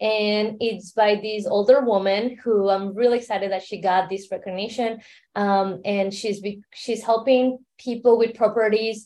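A woman with a Mexican accent at a medium pitch, fairly slow pace and fairly even intonation, over a quiet background. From Mexico City, Mexico. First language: Spanish. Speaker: startup founder and entrepreneur. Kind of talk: interview.

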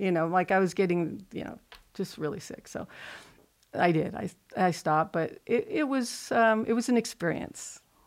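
Her medium-pitched voice moves at a moderate pace, with ordinary pitch variation and big swings in loudness. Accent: American. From US West Coast, Pasadena, California. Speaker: artist. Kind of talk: interview.

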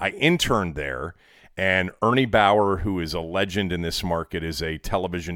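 In a very clean recording with a silent background, a man with an American accent talks at a fairly quick pace. His pitch is very deep and low, with ordinary variation and a bright, sharp tone. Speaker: sports radio host. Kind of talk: casual chat. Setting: studio. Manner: laughs often.

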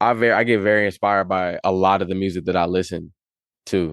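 A man with an American accent speaks at a moderate pace. His pitch is fairly low. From Las Vegas, then Charlotte, North Carolina from age twelve. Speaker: rapper and music producer. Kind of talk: casual interview.

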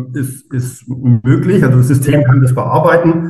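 Audible room echo surrounds a man whose fairly high voice keeps a fairly even intonation. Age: 40s. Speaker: architect and startup co-founder. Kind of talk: podcast interview. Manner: hesitant, many fillers.

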